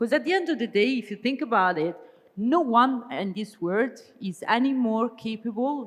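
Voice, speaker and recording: A woman with an Italian accent. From Italy. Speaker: business strategy consultant, keynote speaker. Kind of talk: keynote speech. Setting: conference stage with audience. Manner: hesitant fillers, some false starts.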